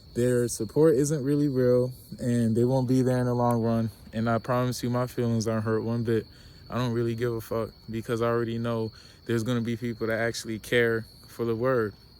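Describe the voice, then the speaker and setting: Fairly quick speech comes from a man at a medium pitch. His intonation is monotone and flat. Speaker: YouTuber vlogger. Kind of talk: casual monologue vlog. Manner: mellow.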